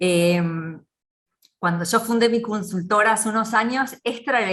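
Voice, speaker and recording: A woman in an Argentine accent, bright and sharp in tone, at a fairly slow pace with fairly even intonation. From Argentina. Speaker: business consultant. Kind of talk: interview.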